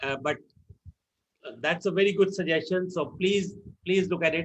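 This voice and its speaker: A man with an Indian accent speaks in a high voice. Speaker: meeting moderator. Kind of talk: online meeting moderation. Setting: video call.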